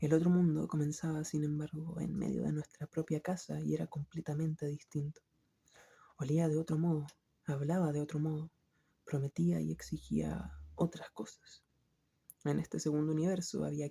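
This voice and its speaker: The voice is soft-spoken, with a calm tone. It moves at a moderate pace. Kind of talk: literary book reading. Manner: soft-spoken, calm.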